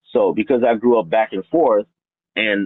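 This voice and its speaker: With a slight non-native accent, a man speaks with ordinary pitch variation. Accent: slight foreign accent in English. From New York, Brooklyn, with childhood in Haiti and Dominican Republic. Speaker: interviewee, former real estate broker. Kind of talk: interview.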